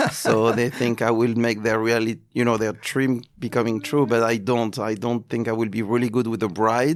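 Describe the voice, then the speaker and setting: A man with a French accent speaks at a moderate pace with hardly any pauses, his medium pitch and intonation fairly even. Noticeable background noise runs underneath. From France. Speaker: luxury events agency president. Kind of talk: interview. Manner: halting.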